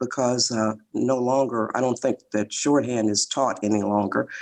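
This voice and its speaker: A moderate pace with an American accent. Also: woman. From US Midwest, Detroit, Michigan. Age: 70s. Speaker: author and relationship expert. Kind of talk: interview.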